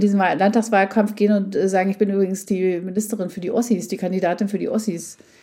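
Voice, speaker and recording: A woman speaks very fast in a dark, mellow tone with flat, monotone intonation. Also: hardly any pauses. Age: 50s. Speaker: journalist and podcast co-host. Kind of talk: interview. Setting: remote connection.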